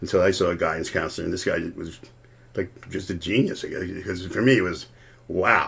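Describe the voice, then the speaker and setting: A man talks at a fairly quick pace in a very deep, low, somewhat breathy voice with fairly even intonation. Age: 60s. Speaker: lawyer and drummer, podcast guest. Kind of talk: casual chat. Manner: halting, many repetitions.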